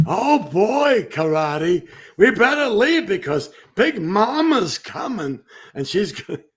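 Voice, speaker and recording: Using a put-on character voice, the speaker goes at a fairly slow pace with very wide pitch swings. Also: man, high pitch for a man. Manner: playful cartoon voice.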